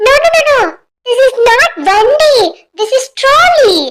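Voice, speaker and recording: In a cartoonish character voice, a female-sounding speaker squeaks at an extremely high pitch and a fairly slow pace. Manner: speaks mostly English, fussy.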